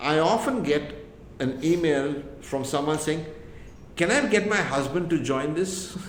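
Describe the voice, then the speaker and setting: Over noticeable background noise and audible room echo, a man speaks fairly slowly in a fairly high voice with ordinary pitch variation. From India. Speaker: entrepreneur and immigrant advocate. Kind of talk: podcast interview.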